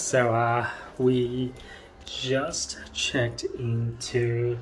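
A man is speaking. Noticeable background noise runs through the clip. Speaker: travel vlogger. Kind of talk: casual vlog chat. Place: home room. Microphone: phone near.

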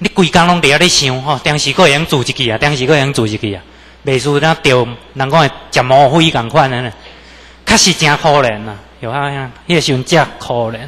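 Here a man talks fairly quickly in an ordinary speaking voice. His pitch is fairly high, with ordinary variation. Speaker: religious lecturer. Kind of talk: religious lecture with personal testimony. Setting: temple lecture hall with audience.

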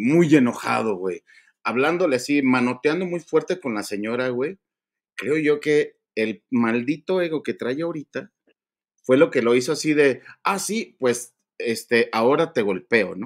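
Against a quiet background, the speaker uses lively intonation at a fairly slow pace. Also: man. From Mexico. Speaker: livestream host. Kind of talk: casual livestream chat. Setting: live stream. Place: home room. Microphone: earbuds.

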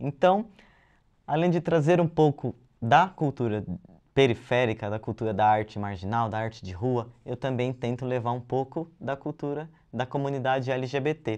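Against a quiet background, a man talks in a normal speaking voice at a medium pitch. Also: ordinary pitch variation, moderate pace. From São Paulo, northern periphery (Zona Norte). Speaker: illustrator and graffiti artist teaching a workshop. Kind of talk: video lesson presentation. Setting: studio. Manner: casual, relaxed.

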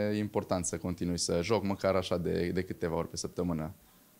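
Monotone, flat intonation runs through this fairly quick delivery. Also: man. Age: 20s. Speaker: hotel owner and sports event organizer. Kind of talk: interview. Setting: hotel. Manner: halting. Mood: calm, proud. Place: office. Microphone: handheld.

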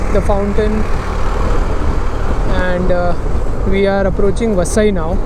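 The sound is dry with no echo, and loud background noise fills the clip. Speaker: motorcycle touring vlogger. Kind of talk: casual vlog chat. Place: motorbike. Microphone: helmet.

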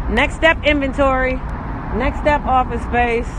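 Against noticeable background noise, a man speaks fairly slowly at an extremely high pitch, with a dry sound and no echo. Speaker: live streamer. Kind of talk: casual vlog chat. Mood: upbeat, boastful. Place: street. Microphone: phone near.

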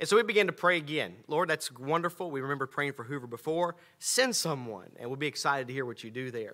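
A man's fairly high voice with an American accent, very fast with hardly any pauses, over a quiet background. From North Carolina. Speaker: pastor and church planter. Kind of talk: missionary church presentation. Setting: church. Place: church. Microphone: podium.

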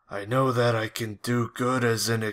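A man's put-on character voice at medium pitch, with monotone, flat intonation. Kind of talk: mock dramatic reading. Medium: game stream. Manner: deliberately monotone, deadpan.

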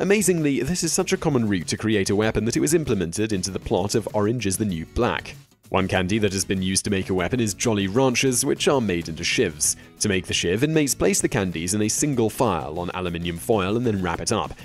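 A man's very fast, lively-intoned talk over music in the background. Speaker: online video host. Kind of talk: factual list narration.

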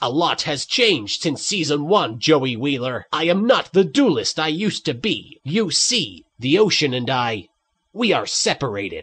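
A man speaks in a put-on character voice. His pitch is fairly high. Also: moderate pace. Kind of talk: comic parody voice acting. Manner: dramatic, earnest, self-pitying.

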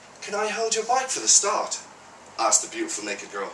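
A man talks amid light background noise, and room echo can be heard. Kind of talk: live prose reading. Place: cafe. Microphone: camera far.

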